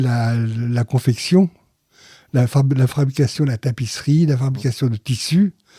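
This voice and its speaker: A man talks at a very slow pace with a medium pitch and fairly even intonation. His tone is dark and mellow, and somewhat breathy. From Paris, France. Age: 80s+. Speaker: interviewee, father of a Holocaust survivor family. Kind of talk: interview testimony.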